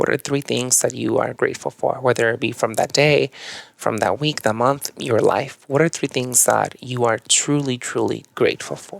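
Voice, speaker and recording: A man talks in a Mexican accent, and the sound is dry and close with no echo. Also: moderate pace. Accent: Mexican Spanish accent, CH and SH merged. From Chihuahua, Mexico. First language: Spanish. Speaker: yoga and meditation teacher. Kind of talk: podcast interview.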